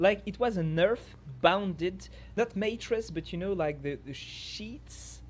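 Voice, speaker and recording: Someone with a French accent speaks at a very slow pace. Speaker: fitness coach and interviewer. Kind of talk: interview. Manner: halting.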